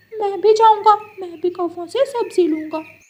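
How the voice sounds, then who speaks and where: The voice is a cartoonish character voice at an extremely high pitch. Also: moderate pace. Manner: eager.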